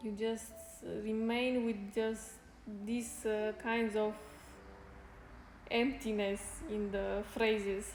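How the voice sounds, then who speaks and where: A woman speaks at a very slow pace in a fairly high pitch, with long, frequent pauses, monotone, flat intonation, audible room echo and noticeable background noise. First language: Spanish. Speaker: fitness streamer. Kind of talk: casual chat. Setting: live stream. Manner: halting.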